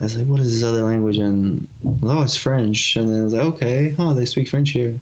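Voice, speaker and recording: Speaking at a medium pitch with ordinary pitch variation, a man has an unremarkable speaking voice. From USA, Bosnian immigrant family. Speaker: MMA fighter. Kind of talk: casual interview chat.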